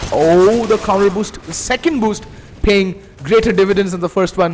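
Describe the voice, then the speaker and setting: With a strong Indian accent, a man speaks in an animated tone at a moderate pace. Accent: Indian accent, self-described as strong. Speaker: esports caster. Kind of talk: live commentary; casual chat. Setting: live stream.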